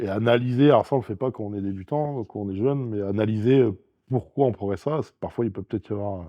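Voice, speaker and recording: A man speaks at a very fast pace. His pitch sits fairly low. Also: ordinary pitch variation. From France. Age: 40s. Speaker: strongman athlete and sports coach. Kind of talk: casual interview chat. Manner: hesitant with frequent fillers.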